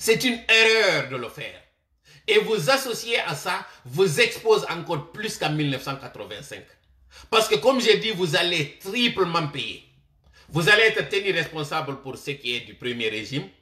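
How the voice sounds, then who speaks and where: Bright and sharp in tone, a man with a high pitch speaks at a moderate pace, with very wide pitch swings and big swings in loudness. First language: Malinke (Manding) (speaking French). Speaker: political commentator. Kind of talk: political commentary monologue. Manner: impassioned direct address.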